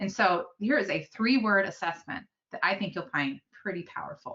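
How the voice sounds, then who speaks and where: Her intonation lively, a woman speaks at a medium pitch. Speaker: education webinar presenter. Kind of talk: webinar presentation. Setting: online webinar. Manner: fast.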